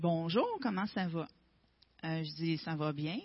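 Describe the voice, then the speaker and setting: A woman with a Quebec accent sounds somewhat breathy, with lively intonation. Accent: Québécois French. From Quebec, Gaspésie. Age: 40s. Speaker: testimony speaker. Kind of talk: testimony. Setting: church.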